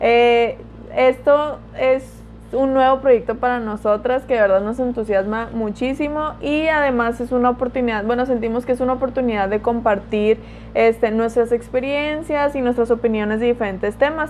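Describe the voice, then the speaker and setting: Speaking at a moderate pace, a woman uses a high voice with fairly even intonation. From Mexico, Culiacán, Sinaloa. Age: 20s. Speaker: podcast co-host. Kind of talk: casual chat.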